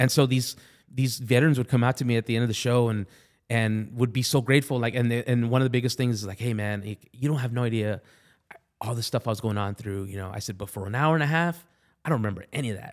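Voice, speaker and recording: Speaking at a very fast pace with an American accent, a man at medium pitch shows ordinary pitch variation on a very clean recording with a silent background. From Southern California. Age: 40s. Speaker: army veteran and stand-up comedian. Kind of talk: casual interview. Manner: halting, many repeated words.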